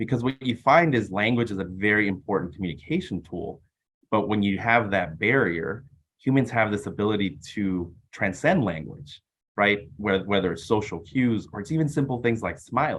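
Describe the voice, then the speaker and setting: This man has a fairly low voice and a Californian accent. His intonation is lively and his pace moderate. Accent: Californian American English. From US West Coast, East Los Angeles. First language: Spanish. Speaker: business executive. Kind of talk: interview.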